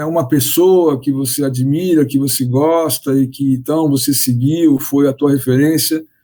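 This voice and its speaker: A man's voice with a dark, mellow tone, fairly high in pitch, at a very slow pace. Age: 60s. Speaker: business consultant. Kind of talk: interview. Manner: halting.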